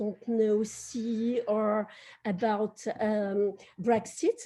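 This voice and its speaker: Speaking with a French accent, a woman uses a dark, mellow tone and a fairly high pitch. Her pace is very slow. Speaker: publisher. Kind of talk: panel discussion. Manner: halting.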